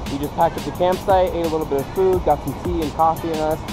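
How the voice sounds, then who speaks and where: With ordinary pitch variation, the voice sounds dry with no echo while clear music plays in the background. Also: man. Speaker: travel vlogger. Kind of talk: casual vlog chat. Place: forest. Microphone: phone near.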